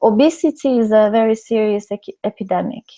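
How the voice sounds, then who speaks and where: With a dark, mellow tone and a fairly high pitch, a woman speaks at a moderate pace and with fairly even intonation in a dry, close sound with no echo. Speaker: design researcher. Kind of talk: Q&A after keynote. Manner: measured pace.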